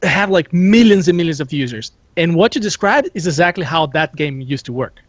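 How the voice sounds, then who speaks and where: The speaker, with a non-native accent, goes at a fairly quick pace. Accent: non-native accent, noted by self. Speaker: gaming show panelist. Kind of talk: casual discussion.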